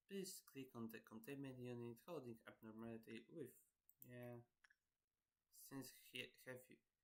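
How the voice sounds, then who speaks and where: A man speaks quietly at a moderate pace with fairly even intonation. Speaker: gaming streamer. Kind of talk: let's play commentary, reading game tutorial aloud. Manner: halting.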